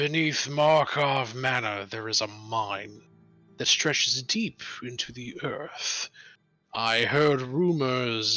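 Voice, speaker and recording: A man growls in a raspy, put-on character voice at a medium pitch and a very slow pace. Faint music plays in the background. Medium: actual play. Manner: archaic, imperious.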